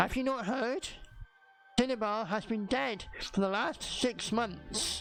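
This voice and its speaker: Using a put-on character voice, a woman speaks at a fairly high pitch. Her pace is fairly slow, with long, frequent pauses. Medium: read story.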